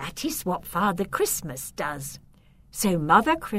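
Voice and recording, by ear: The clip is someone reading aloud in a natural voice. That is all it contains.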